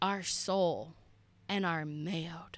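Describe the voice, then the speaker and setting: A woman speaks at a very slow pace in a very clean recording with a silent background. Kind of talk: faith podcast monologue. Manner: animated; loud.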